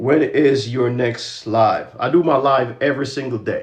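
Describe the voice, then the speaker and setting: This is a man talking. His voice is somewhat breathy. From Jamaica. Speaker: credit and finance educator. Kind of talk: livestream talk with motivational speech. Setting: social media livestream. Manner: fast.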